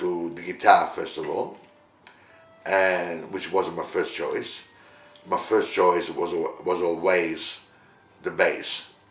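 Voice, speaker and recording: A man talks at a fairly slow pace with an Italian accent. There is audible room echo and noticeable background noise. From Italy, Rome; moved to Australia as a teenager. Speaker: musician and entertainment company director. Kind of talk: interview monologue, life story. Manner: hesitant, many fillers.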